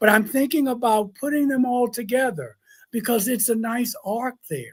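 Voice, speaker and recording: Moderately paced and animated, a man speaks at an extremely high pitch with ordinary pitch variation. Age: 60s. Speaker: minister and UFO experiencer. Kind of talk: interview. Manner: animated storytelling.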